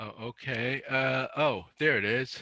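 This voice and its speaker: Using a bright, sharp tone, a man speaks at a very slow pace. His pitch varies in an ordinary way. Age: 70s. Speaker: author. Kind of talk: casual talk on a video call. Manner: halting.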